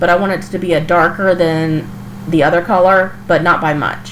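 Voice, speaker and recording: Amid noticeable background noise, a woman with a fairly low pitch speaks at a fairly quick pace. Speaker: craft channel host. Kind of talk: DIY tutorial voice-over. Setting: recorded in a kitchen. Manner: casual, chatty.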